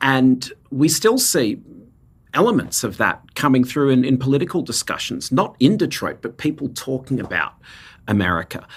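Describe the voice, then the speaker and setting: Lively in his intonation, a man with an Australian accent and a medium pitch speaks at a moderate pace. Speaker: nonprofit co-founder. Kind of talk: interview.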